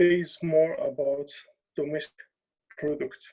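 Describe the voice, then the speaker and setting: The voice has a dark, mellow tone, a non-native accent and monotone, flat intonation. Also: man. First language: not English. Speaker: journalist. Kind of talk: talk. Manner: halting.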